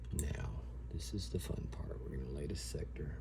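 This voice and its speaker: A man talks with a Southern US accent and vocal fry in a dark, mellow tone. Audible room echo surrounds his voice. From US South. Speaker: airsoft hobbyist YouTuber. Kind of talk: tutorial. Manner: casual.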